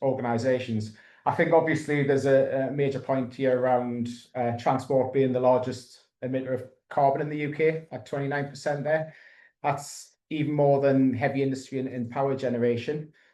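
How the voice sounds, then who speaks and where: A man speaks in a monotone, flat way at a moderate pace, his medium-pitched voice dark and mellow, with audible room echo around him. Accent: Geordie. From northern England, Newcastle. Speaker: EV charging consultant. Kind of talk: webinar presentation. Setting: online webinar. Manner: hesitant, many fillers.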